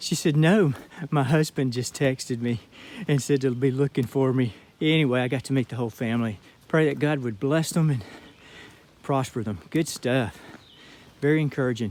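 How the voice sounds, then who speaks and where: A man with a medium pitch speaks at a moderate pace with ordinary pitch variation. Long pauses come often. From Georgia (US). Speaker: hiker vlogger. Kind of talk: casual vlog talk, outdoor monologue. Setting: outdoors on hiking trail.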